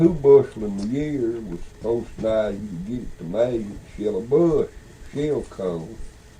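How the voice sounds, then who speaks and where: A man at medium pitch and a moderate pace, with a Southern Appalachian accent and lively intonation, over noticeable background noise. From Beech Mountain, North Carolina. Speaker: storyteller. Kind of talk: casual conversation. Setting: audio cassette recording.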